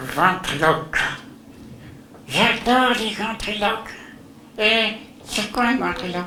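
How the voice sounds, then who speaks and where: Over clear background noise, a man does a put-on character voice at high pitch and a fairly slow pace, with long, frequent pauses. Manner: cheeky, playful.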